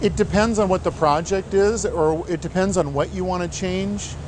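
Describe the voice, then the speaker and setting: A man's high-pitched, relaxed voice with an American accent and ordinary pitch variation, set against noticeable background noise. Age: 60s. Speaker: small-town mayor. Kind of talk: interview monologue. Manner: relaxed, with fillers.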